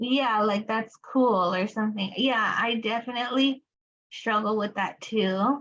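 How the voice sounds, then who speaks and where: A woman with a fairly high pitch talks at a fairly slow pace, her intonation fairly even. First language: Spanish. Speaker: applied behavior analysis educator. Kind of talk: study group lecture. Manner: casual, many fillers.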